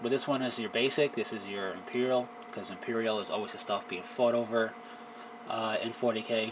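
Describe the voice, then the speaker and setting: A man speaks at a fairly quick pace in a monotone, flat intonation at a medium pitch, with noticeable background noise. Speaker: tabletop wargaming youtuber. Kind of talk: casual video review. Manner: loud; rambling, filler-heavy.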